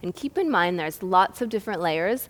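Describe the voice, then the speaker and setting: A woman with a medium pitch and ordinary pitch variation has an ordinary speaking voice. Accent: American. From United States. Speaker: yoga teacher. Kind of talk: tutorial. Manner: calm.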